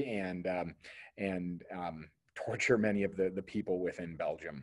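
The speech comes at a fairly slow pace against a quiet background. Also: man. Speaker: history teacher. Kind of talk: lecture. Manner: hesitant, many fillers. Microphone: webcam.

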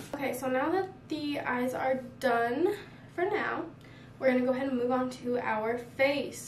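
High-pitched female speech against clearly audible background noise. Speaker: makeup vlogger. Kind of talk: casual tutorial. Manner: friendly, chatty.

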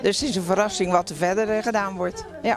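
Over clear crowd noise and clear music in the background, a woman talks at a fast pace. Her pitch is medium, with fairly even intonation.

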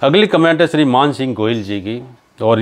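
Pitch varies in an ordinary way while the words come out at a fairly slow pace. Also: man. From Rajasthan, India. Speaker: pilgrim vlogger. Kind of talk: Q&A answering viewer comments. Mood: calm, devotional, friendly. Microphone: lapel.

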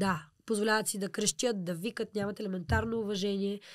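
A woman's unremarkable speaking voice at a medium pitch. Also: very clean recording, silent background. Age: 20s. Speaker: pop-folk singer. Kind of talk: interview.

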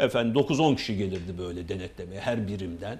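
His fairly low voice is somewhat breathy, with ordinary pitch variation and a moderate pace. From Turkey, Samsun Ladik; Turkey. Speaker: associate professor. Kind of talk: casual interview chat. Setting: TV studio. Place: studio. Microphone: lapel.

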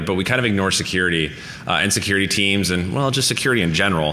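A man speaks at a very fast pace with a fairly low pitch and ordinary pitch variation. Light background noise is present. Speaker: conference speaker. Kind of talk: lecture. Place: hall.

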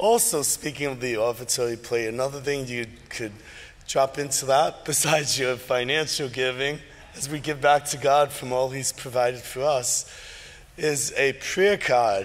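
The speaker is a man talking at a moderate pace. His pitch varies an ordinary amount. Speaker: pastor leading worship. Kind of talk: church announcements. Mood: warm, lightly humorous. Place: church.

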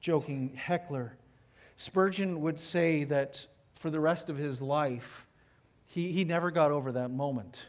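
A man speaking at a moderate pace with ordinary pitch variation. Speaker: lead pastor. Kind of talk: sermon. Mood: earnest storytelling. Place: church. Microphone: headset.

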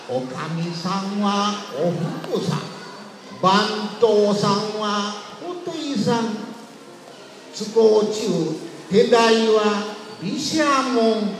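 A man with a Tosa accent, high pitch and lively intonation, very slow pace with long, frequent pauses, over noticeable background noise. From Kochi, Japan. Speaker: storyteller. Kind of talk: kamishibai picture-story performance. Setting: outdoors, street.

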